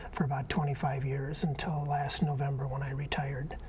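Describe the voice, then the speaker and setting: A man with an American accent talks fairly quickly amid noticeable background noise and audible room echo. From Minnesota, Saint Paul. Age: 70s. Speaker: union activist and peace veteran. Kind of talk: interview. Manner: halting, many fillers.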